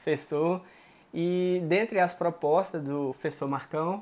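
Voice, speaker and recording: A man talks at a fairly slow pace with ordinary pitch variation. His is a plain, everyday voice. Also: very clean recording, silent background. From Minas Gerais, Brazil. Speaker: interviewer. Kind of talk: interview.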